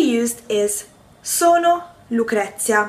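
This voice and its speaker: Speaking very slowly with an Italian accent, a woman uses a fairly high pitch with very wide pitch swings. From Italy, Rome. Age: 20s. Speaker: language teacher. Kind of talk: tutorial. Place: kitchen. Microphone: phone near.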